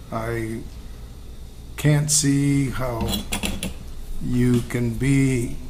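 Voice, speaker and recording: There is noticeable background noise and audible room echo as a man speaks at a medium pitch. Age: 70s. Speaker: retiring city administrator. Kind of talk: farewell remarks.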